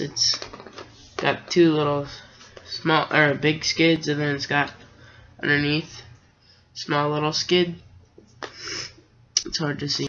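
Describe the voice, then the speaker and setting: Very slow, monotone delivery with flat intonation from a fairly high-pitched man, amid noticeable background noise. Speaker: Lego builder. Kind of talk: casual talk to camera.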